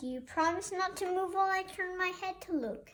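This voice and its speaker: Putting on a character voice at an extremely high pitch, a woman talks at a fairly quick pace with ordinary pitch variation. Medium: read story.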